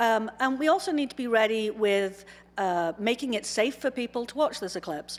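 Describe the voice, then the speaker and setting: At a moderate pace, a woman talks in a fairly high pitch with lively intonation. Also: very clean recording, silent background. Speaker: astronomy professor. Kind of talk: conference talk. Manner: loud.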